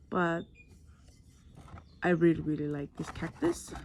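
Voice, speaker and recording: A soft-spoken voice with a dark, mellow tone at a moderate pace. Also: woman. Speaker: plant hobbyist vlogger. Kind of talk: tutorial. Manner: quiet, soft-spoken; casual, chatty.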